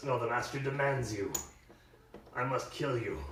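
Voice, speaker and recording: A man puts on a character voice at a medium pitch. There is a slight echo and clear background noise. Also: moderate pace. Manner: snarling, menacing.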